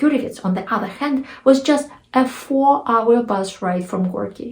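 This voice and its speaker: A woman's fairly high voice with a Russian accent, ordinary pitch variation and a fairly slow pace. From Russia (Nizhny Novgorod). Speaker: author, storyteller. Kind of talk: personal story told to camera. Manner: humorous, anecdotal.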